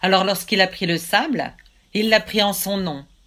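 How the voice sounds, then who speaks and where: A woman speaks in a dramatic tone. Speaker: storyteller. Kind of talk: folk tale storytelling. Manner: measured, dramatic narration with suspenseful pauses; voices God and Satan in quoted dialogue.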